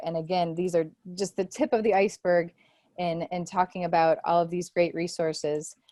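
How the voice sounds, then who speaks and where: A woman with a normal speaking voice and a fairly low pitch talks at a moderate pace in a dry, close sound with no echo. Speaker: online teaching trainer. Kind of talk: presentation to faculty.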